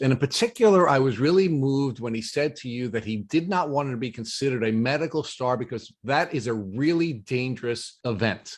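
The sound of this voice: Speech with a New York accent, lively intonation and few pauses. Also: man, medium pitch for a man, moderate pace.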